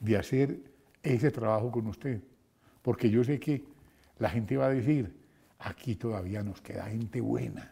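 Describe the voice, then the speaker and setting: A man's somewhat breathy, medium-pitched voice with a dark, mellow tone and lively intonation at a fairly slow pace. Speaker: radio host. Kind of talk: interview. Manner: halting.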